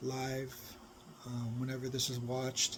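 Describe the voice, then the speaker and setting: A man with a medium-pitched, somewhat breathy voice speaks at a fairly slow pace amid audible room echo. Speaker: spiritual teacher. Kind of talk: satsang talk. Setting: recorded live video. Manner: soft-spoken.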